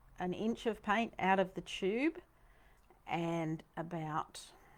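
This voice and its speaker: In a Queensland accent, a woman talks at a very slow pace. Her voice sits at medium pitch with ordinary variation. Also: long, frequent pauses. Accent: Australian (Queensland). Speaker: painting teacher. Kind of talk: tutorial. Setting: studio. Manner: animated.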